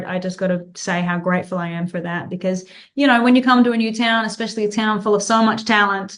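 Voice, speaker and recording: A woman's medium-pitched voice with an Australian accent, fairly even intonation and a fairly quick pace. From Australia, Tasmania. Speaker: country singer. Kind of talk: interview.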